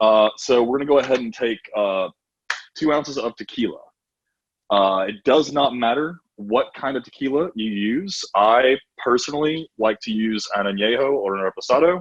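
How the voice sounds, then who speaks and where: Recorded with a dry, close sound and no echo, the talk has an ordinary speaking voice, ordinary pitch variation and a moderate pace. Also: man, medium pitch for a man. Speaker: bartender teaching a cocktail class. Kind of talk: online cooking class demonstration.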